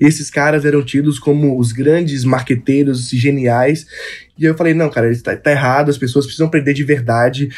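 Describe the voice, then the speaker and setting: Music plays in the background as a man with a fairly high pitch talks at a fairly quick pace and fairly even intonation. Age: 20s. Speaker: young entrepreneur. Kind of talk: casual interview chat.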